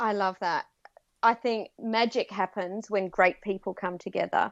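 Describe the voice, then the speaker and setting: In an Australian accent, a woman speaks at a fairly slow pace with fairly even intonation, in a dry, close sound with no echo and a quiet background. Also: medium pitch for a woman. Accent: Australian, noticeable to US listeners. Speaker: guest interviewer, business coach. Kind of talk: interview.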